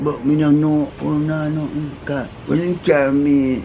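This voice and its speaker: A man with a Jamaican accent, fairly high-pitched, at a moderate pace, with audible room echo and noticeable background noise. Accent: Jamaican Patois. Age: 80s+. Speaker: interviewee recounting life stories. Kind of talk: casual interview.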